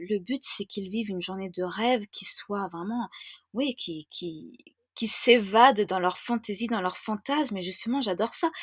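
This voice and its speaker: A woman sounds enthusiastic, with a fairly high pitch and lively intonation. She talks at a fairly slow pace in a dry, close sound with no echo. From France. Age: 30s. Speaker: wedding planner. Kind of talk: podcast interview. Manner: hesitant, many fillers.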